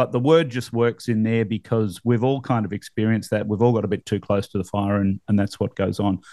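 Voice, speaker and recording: A man's fairly low, dark and mellow voice with an Australian accent, dry and close with no echo, over a quiet background. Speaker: real estate podcast host. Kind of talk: casual chat. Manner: animated.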